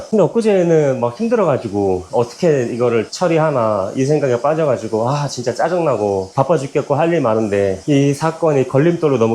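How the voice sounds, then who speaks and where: A man speaks at a fairly quick pace with hardly any pauses. His loudness is very even while his pitch swings very widely. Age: 40s. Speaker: business owner and home fitness vlogger. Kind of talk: casual monologue while cycling. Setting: at home on indoor bike. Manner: halting, with many fillers and repetitions.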